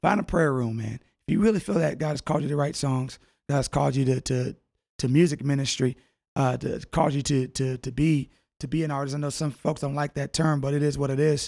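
The recording is very clean, with a silent background. A man talks at a very fast pace with a fairly high pitch and fairly even intonation. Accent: American. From California (Fresno, Southern California). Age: 30s. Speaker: minister and gospel singer. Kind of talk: casual interview, testimony.

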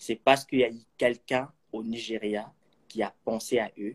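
Monotone, flat delivery comes at a moderate pace in a dry, close sound with no echo. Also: man. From Kinshasa, DR Congo. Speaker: accountant and film enthusiast. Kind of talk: interview.

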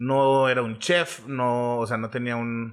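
Over a quiet background, a man talks in an unremarkable speaking voice at a medium pitch with fairly even intonation. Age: 30s. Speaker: food reviewer and marketer. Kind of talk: casual chat.

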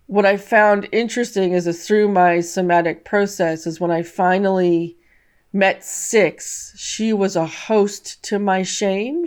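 A woman in a West Coast US accent at a very slow pace with fairly even intonation, in a very clean recording with a silent background. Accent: General American (West Coast). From California. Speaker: author and trauma survivor. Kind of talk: interview testimony.

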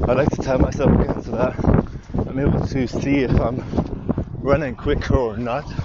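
A man talks with fairly even intonation while noticeable background noise is heard. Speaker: vlogger. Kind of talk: casual monologue. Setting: outdoors.

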